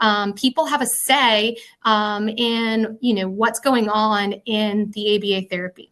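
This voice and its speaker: In an American accent, a woman speaks with a fairly high pitch and a bright, sharp tone. Her intonation is fairly even over a quiet background. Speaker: behavior analyst presenter. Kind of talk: lecture. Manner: fast.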